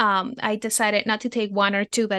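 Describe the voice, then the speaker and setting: In a Spanish accent, a woman speaks at medium pitch against a quiet background, with a dry, close sound and no echo. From Venezuela. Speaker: therapist. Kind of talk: podcast interview. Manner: halting, many fillers.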